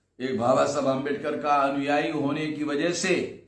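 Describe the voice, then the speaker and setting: A man is speaking. Audible room echo can be heard around his voice. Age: 60s. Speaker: social movement leader. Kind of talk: recorded video address.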